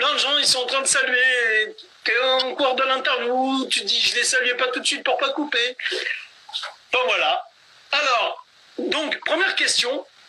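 A man with an extremely high pitch speaks with long, frequent pauses over light background noise. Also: ordinary pitch variation. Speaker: live talk show host. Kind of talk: live interview chat. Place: home room. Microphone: phone near.

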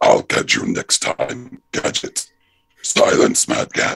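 A man uses a put-on character voice at an extremely high pitch, raspy and swinging very widely in pitch. He speaks at a very slow pace. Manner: menacing.

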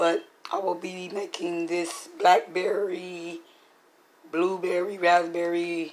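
Against noticeable background noise, a woman speaks very slowly in a monotone, flat intonation. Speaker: cooking video creator. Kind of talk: tutorial. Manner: casual, hesitant with fillers.

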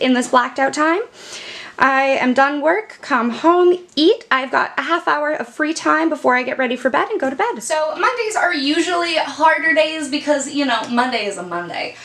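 A woman talks at a moderate pace with lively intonation. Her pitch is high. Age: 20s. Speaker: ADHD lifestyle vlogger. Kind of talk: casual talk to camera. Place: home room.

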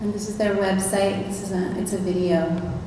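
Against light background noise and audible room echo, a woman speaks at a fairly slow pace. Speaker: panel moderator and arts administrator; panel moderator. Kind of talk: panel moderation before a live audience. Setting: stage with audience. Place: hall. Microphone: camera far.

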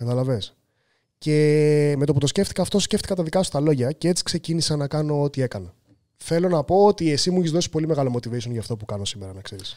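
A man talks at a very fast pace in a fairly high voice with a dark, mellow tone. His intonation is lively, and the background is quiet. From Greece. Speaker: professional chef; podcast guest. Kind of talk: casual chat. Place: studio. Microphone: studio mic.

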